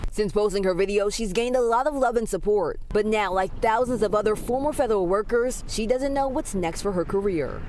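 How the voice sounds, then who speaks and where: With an American accent, a woman talks at a fairly quick pace in a fairly high, energetic voice with ordinary pitch variation, and noticeable background noise can be heard. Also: hardly any pauses, very even loudness. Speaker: television news reporter. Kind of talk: live TV news report. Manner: clear, energetic news delivery.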